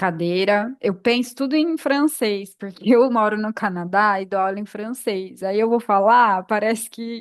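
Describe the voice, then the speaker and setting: Against a quiet background, a woman speaks at a fairly slow pace with hardly any pauses. Her pitch is fairly high, with ordinary variation. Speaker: yoga teacher and podcast co-host. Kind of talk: casual podcast chat. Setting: podcast recording.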